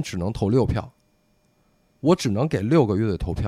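A man speaks with very wide swings in pitch on a very clean recording with a silent background. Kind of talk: casual chat. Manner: fast.

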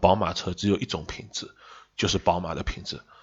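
Speaking at a fairly quick pace, a man with a Shanghai accent has a very deep, low pitch. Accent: Shanghai-accented Mandarin. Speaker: car industry commentator. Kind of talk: casual chat.

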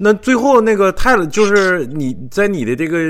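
Music plays in the background as a man talks at a moderate pace. His pitch swings very widely. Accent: Northeastern Chinese. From Northeast China. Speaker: podcast host. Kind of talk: live-stream podcast hosting. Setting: live online voice call.

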